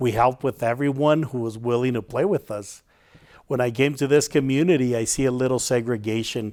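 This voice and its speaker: Speaking at a fairly quick pace in a normal speaking voice, a man with an American accent keeps a medium pitch and fairly even intonation. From Santa Barbara, California. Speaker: community member. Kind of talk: personal testimony.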